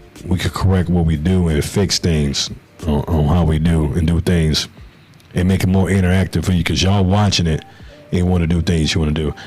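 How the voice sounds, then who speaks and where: Against noticeable background noise, a man with a very deep, low pitch talks at a fairly quick pace with very even loudness. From Chicago, South Side. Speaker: basketball podcast host. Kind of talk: podcast sign-off. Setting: live stream. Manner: casual, animated.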